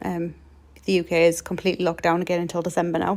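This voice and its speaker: The woman speaks in a monotone, flat way at a medium pitch. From UK. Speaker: card-making crafter. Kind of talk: craft tutorial narration. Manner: casual, frequent ums.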